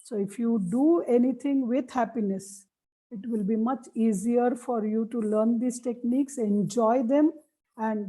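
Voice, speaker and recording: With an Indian accent, a woman talks fairly slowly in a fairly high, dark, mellow voice with fairly even intonation. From India (Marathi-speaking). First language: Marathi. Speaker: memory techniques trainer. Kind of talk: lecture.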